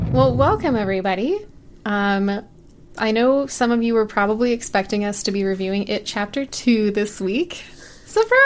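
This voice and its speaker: A woman's fairly high voice, an ordinary speaking voice, rises and falls in a lively way as she keeps a moderate pace. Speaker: podcast host. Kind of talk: casual podcast conversation, film recap.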